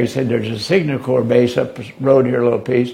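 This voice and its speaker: Over noticeable background noise, a man talks at a medium pitch. His intonation is monotone and flat. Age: 80s+. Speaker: war veteran. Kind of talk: interview answer.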